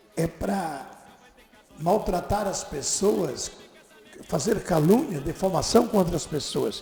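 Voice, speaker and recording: A man's high-pitched voice with lively intonation, at a very slow pace with long, frequent pauses and music in the background. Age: 70s. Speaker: radio host. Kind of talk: political commentary. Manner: emphatic.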